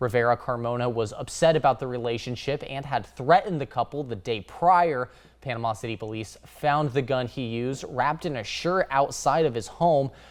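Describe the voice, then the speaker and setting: A man with an American accent speaks in a plain, everyday voice at medium pitch. His pace is moderate, with ordinary pitch variation. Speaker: television news anchor and reporter.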